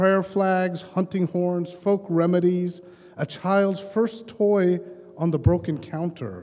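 A man with a high pitch, a fairly slow pace and ordinary pitch variation. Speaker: poet and professor; poet, professor. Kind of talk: poetry reading; poetry reading and introduction. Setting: stage with audience. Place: hall. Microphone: handheld.

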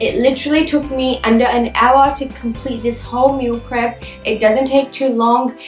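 A woman speaks at a moderate pace in a high pitch. Audible room echo surrounds her voice, with faint music in the background. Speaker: lifestyle vlogger. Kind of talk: casual vlog chat. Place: home room.

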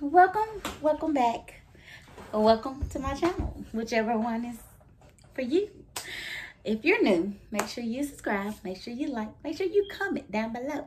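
A woman's high-pitched voice at a moderate pace, with very wide pitch swings, long, frequent pauses and light background noise. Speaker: vlogger. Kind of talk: casual vlog chat.

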